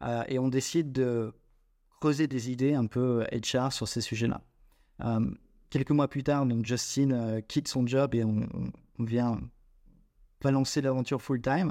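Speaking at a very slow pace with long, frequent pauses, a man with a medium pitch and a dark, mellow tone keeps a fairly even intonation on a very clean recording with a silent background. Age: 20s. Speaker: startup co-founder. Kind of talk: interview.

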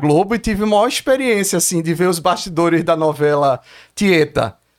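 A man talks at a moderate pace with ordinary pitch variation. The recording is very clean, and the background is silent. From Brazil, Pernambuco (Olinda/Recife). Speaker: filmmaker and author. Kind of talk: casual interview chat. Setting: studio.

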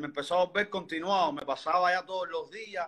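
A man with a Cuban accent has a high-pitched, bright, sharp tone and fairly even intonation. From Havana, Cuba. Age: 30s. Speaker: interviewee sharing health story. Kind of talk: testimony. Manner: halting.

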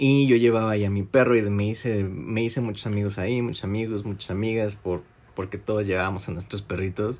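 In a normal speaking voice, a man talks at a fairly quick pace with fairly low pitch and fairly even intonation. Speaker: podcast host. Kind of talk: casual chat.

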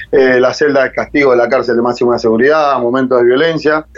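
Noticeable background noise runs through the clip. Over it, a man talks fairly quickly. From Argentina, Buenos Aires area (San Martín). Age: 30s. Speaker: rugby coach for prisoners, former inmate. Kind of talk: interview testimony.

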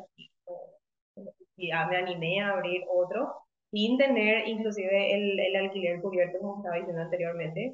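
A woman of medium pitch talks at a moderate pace with ordinary pitch variation, big swings in loudness, and long, frequent pauses. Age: 30s. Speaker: physiotherapist. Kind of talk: interview. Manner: halting.

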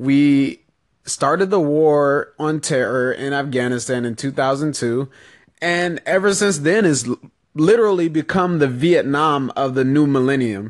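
Against a quiet background, a man with an ordinary speaking voice talks at a fairly slow pace and a fairly high pitch, with lively intonation. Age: 20s. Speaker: political podcast host. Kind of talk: solo political commentary. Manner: casual, conversational.

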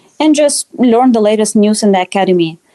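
In a Russian accent, a woman with a fairly high pitch and a dark, mellow tone speaks with lively intonation, her sound dry and close with no echo. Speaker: dietetics student. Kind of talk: interview. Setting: podcast.

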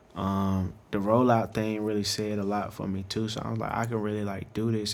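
A man's fairly low voice with an American accent, flat and monotone in intonation. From North Carolina (Greensboro). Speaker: hip-hop artist and photographer. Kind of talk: casual interview chat.

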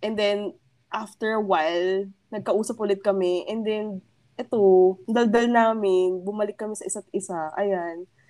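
A woman has an ordinary speaking voice at a medium pitch. She speaks at a fairly slow pace with fairly even intonation. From Philippines, Pasig. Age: 20s. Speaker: podcast co-host.

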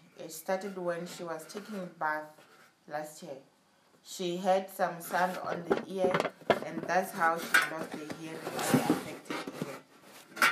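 A woman's fairly low voice, fairly even in intonation, amid noticeable background noise. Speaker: church service assistant. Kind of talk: reading aloud testimony, announcements and scripture. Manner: formal, measured reading.

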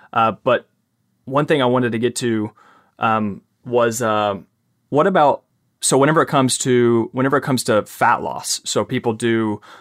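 A man's medium-pitched voice with a Southern US accent, moderate pace and ordinary pitch variation. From US South. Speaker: podcast host and fitness coach. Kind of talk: casual interview. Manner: halting, many repetitions.

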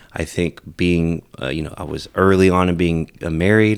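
Using an American accent, a man speaks at a moderate pace in a very deep, low pitch with fairly even intonation, on a very clean recording with a silent background. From California Central Valley. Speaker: nurse. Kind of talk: casual chat.

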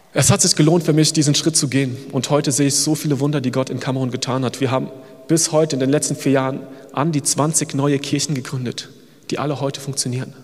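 A man's fairly high, monotone, flat voice at a very fast pace over noticeable background noise. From Germany. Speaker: missionary. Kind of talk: sermon. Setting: church service.

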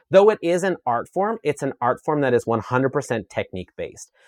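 A man's voice with very wide pitch swings, in a very clean recording with a silent background and a dry, close sound with no echo. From Saskatchewan, Canada (rural). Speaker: chef and media personality, former dancer. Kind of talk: interview conversation. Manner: animated.

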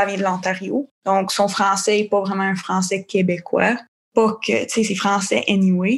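Against a quiet background, a woman with a medium pitch and a somewhat breathy voice talks at a fairly slow pace with fairly even intonation. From Newfoundland and Labrador, Canada. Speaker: youth delegate. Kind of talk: testimony. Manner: casual, halting.

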